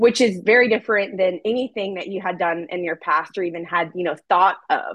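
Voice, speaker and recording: Recorded with a dry, close sound and no echo, a woman talks in a normal speaking voice with ordinary pitch variation. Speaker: podcast co-host. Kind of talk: interview.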